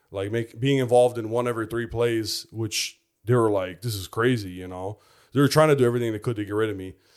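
Over a silent background in a very clean recording, a man with an American accent talks at a very fast pace, his intonation fairly even and his loudness swinging widely. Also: medium pitch for a man. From US Midwest, Chicago. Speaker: former football player. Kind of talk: testimony.

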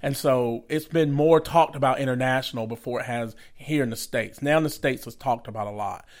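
Very fast male speech in a Southern US accent at medium pitch, with fairly even intonation, hardly any pauses, and a very clean recording with a silent background. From Georgia, US (Atlanta area). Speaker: evangelist, ministry founder. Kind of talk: casual interview.

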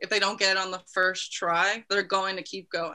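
In an ordinary speaking voice, a woman with an American accent talks at a fairly quick pace and medium pitch on a very clean recording with a silent background. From New Jersey, US. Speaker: sports writer and founder of sports blog. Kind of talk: casual interview chat.

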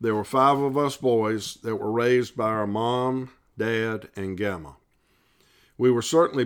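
Moderate pace and ordinary pitch variation in a Southern US accent, very clean recording with a silent background. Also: man. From US South, South Carolina (Columbia). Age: 60s. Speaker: lay Bible study leader. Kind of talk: devotional Bible study reflection.

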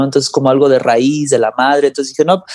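A man speaks in a fairly high pitch with a dark, mellow tone, recorded dry and close with no echo. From Mexico (Guadalajara) then Los Angeles from age 10. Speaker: singer-songwriter and guitarist. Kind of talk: casual interview chat.

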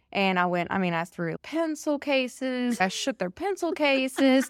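With lively intonation, a woman speaks in a Southern US accent. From Alabama. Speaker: teacher and amateur ultra-runner. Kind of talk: casual interview chat. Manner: animated.

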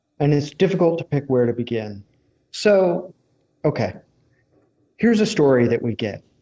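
A man speaks in an American accent at a moderate pace, his fairly high pitch making very wide swings. His tone is dark and mellow, and he takes long, frequent pauses. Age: 30s. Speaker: energy writer and researcher. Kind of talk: interview.

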